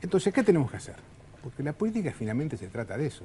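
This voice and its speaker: A man is speaking. He has a Uruguayan accent. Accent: Uruguayan Spanish (Rioplatense). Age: 60s. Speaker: politician. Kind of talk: political interview.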